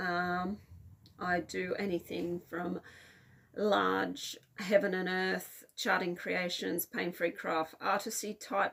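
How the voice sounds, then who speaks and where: A woman's fairly low-pitched voice with vocal fry, ordinary pitch variation and a very slow pace. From Australia. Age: 40s. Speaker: cross-stitch video blogger. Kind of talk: casual hobby vlog. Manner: casual, with frequent fillers (um, uh).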